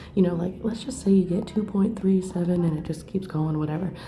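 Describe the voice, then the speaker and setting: Ordinary pitch variation with audible room echo and music in the background. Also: woman. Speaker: math instructor. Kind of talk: tutorial; casual chat. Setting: rented library room. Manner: soft-spoken.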